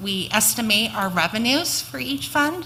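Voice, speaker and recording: Over noticeable background noise, the speech carries lively intonation. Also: woman. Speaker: school district finance officer. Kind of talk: budget presentation.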